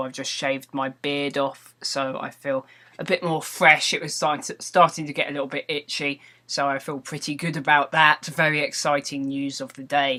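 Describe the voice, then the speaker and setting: Using a British accent, a man speaks at a moderate pace with a fairly high pitch, a bright, sharp tone and fairly even intonation. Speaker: vlogger and gaming video maker. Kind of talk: casual vlog monologue. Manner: slightly slurred words; rambling with frequent ums and repetitions.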